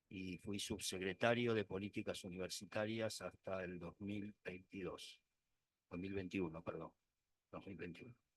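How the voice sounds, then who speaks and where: Flat and monotone, a man speaks at a fairly slow pace and a fairly low pitch, with a dry, close sound that has no echo. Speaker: expert witness, economics professor. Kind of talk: court testimony. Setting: courtroom.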